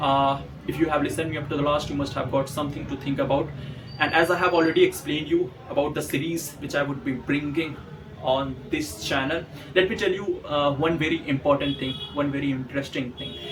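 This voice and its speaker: A man speaks with an Indian accent over noticeable background noise. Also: fairly high pitch for a man, fairly even intonation. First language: Hindi. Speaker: motivational YouTuber. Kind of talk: motivational monologue. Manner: some hesitations and repetitions.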